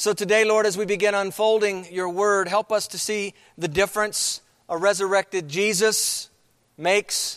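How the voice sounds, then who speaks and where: Monotone, flat intonation carries a man's high-pitched voice at a moderate pace, in a dry, close sound with no echo. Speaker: pastor. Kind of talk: sermon. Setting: church.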